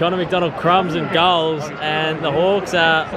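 Loud background noise surrounds a man speaking at a moderate pace with ordinary pitch variation, the sound dry with no echo. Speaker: vlogger. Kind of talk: casual vlog chat and match commentary. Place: stadium. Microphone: phone near.

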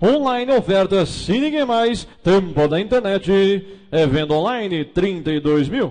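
Over a quiet background, a man speaks very slowly in a high pitch with lively intonation and very even loudness. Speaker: auctioneer. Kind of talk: auction calling. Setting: live auction hall with audience and online bidders. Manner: chatty asides hyping the car. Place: hall.

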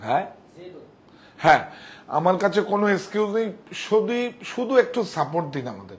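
A man with a high pitch, lively intonation and big swings in loudness. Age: 60s. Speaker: saree shop owner presenting products; textile seller. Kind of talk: sales pitch. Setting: clothing store studio. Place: shop. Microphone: lapel.

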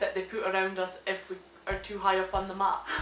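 The speech keeps a moderate pace, with audible room echo and light background noise. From Shetland, Scotland. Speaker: vlogger. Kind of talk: casual reaction, reading questions aloud. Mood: amused, joking. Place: home room. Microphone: camera far.

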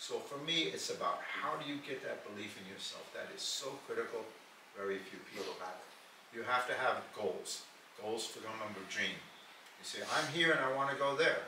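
A man talks fairly quickly with big swings in loudness, amid noticeable background noise and audible room echo. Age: 90s. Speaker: motivational speaker.

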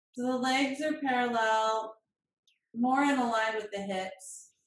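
The speech moves at a very slow pace. Audible room echo and light background noise are present. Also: woman. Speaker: yoga teacher. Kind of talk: guided yoga class and relaxation. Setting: video call. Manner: calm, soothing, slow. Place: home room. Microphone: camera far.

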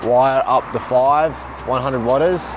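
Music plays in the background as a man speaks in a dry sound with no echo. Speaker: van builder vlogger. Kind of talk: tutorial. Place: street.

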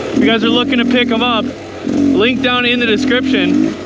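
The pace is moderate. Loud background noise fills a dry sound with no echo. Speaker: dirt bike rider vlogger. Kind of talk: casual vlog chat. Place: motorbike.

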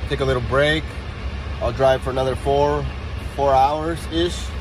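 A man speaks at a moderate pace in a dry sound with no echo. Noticeable background noise is present. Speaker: truck driver vlogger. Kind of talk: casual vlog chat. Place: car. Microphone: phone near.

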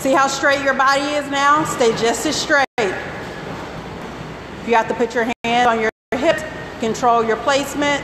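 Against noticeable background noise, a woman with a high pitch talks at a fairly slow pace, with very even loudness and fairly even intonation. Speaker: fitness instructor. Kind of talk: live group fitness class, coaching. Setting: gym, filmed workout class with participants. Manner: brisk, encouraging cues, counting down reps. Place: gym.

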